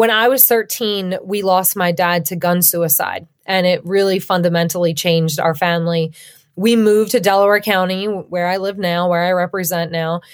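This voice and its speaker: In a plain, everyday voice, a woman with an American accent talks at a moderate pace and medium pitch, with fairly even intonation. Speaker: state legislator. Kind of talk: interview.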